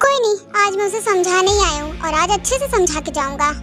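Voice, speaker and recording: A squeaky, put-on character voice rattles along at a very fast pace with clear music in the background. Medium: audio drama. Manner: hot-headed, possessive.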